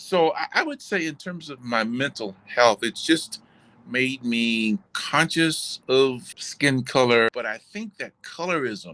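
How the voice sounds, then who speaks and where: Speaking at a very slow pace, this voice has a bright, sharp tone, lively intonation and big swings in loudness, with a dry, close sound and no echo. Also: man, fairly high pitch for a man. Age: 70s. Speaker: interviewee. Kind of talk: interview. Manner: halting.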